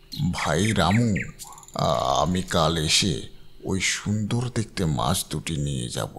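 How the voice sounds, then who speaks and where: Using a cartoonish character voice with a very deep, low pitch, a man speaks at a fairly slow pace over light background noise. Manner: ingratiating, calls the other man "brother".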